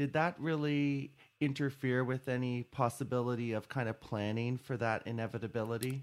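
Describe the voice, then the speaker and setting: A man with a plain, everyday voice speaks at a moderate pace and medium pitch, his intonation fairly even, on a very clean recording with a silent background. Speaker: podcast host and doctor. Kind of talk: interview discussion on health topic. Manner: formal, explanatory.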